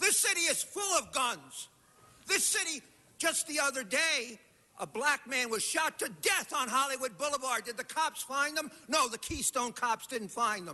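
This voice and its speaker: Raising and projecting his voice, a man speaks at a moderate pace with an extremely high pitch and lively intonation. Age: 70s. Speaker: public commenter. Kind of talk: public comment at council meeting. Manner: animated.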